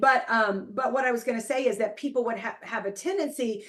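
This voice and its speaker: This is a plain, everyday voice with lively intonation. It moves at a moderate pace. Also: woman. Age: 60s. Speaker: motivational speaker. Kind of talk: live stream interview.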